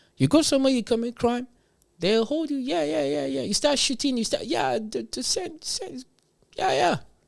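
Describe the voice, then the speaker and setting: A man speaks at a fairly quick pace with a Nigerian accent. The recording is very clean, with a silent background. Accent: Nigerian (Yoruba) English. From Nigeria, Yoruba. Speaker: livestream commentator. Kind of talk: livestream reaction commentary. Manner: animated.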